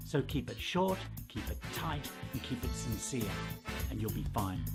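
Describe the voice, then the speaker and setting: Music behind a man speaking at a moderate pace. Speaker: professional master of ceremonies. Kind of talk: tutorial talk to camera.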